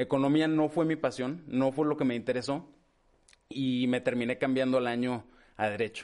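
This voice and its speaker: Using a normal speaking voice, a man talks at a moderate pace and medium pitch with fairly even intonation. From northern Mexico, La Laguna (Torreón). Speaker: lawyer. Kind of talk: interview. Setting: in person.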